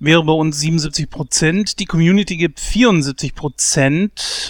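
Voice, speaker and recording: A man's voice sits at a fairly high pitch. He speaks at a very slow pace. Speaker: podcast co-host. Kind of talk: casual chat.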